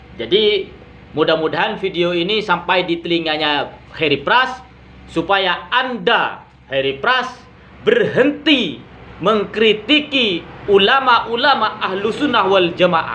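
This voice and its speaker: Over noticeable background noise, a man speaks very slowly in a high voice with lively intonation. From Madura, Indonesia. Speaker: YouTube commentator. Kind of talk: critical monologue.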